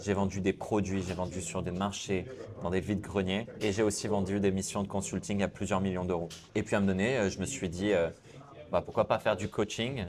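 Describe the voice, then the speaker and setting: A man's fairly low voice at a fairly quick pace. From southern France, Cannes. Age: 30s. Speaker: sales coach and entrepreneur. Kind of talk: interview. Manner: hesitant fillers.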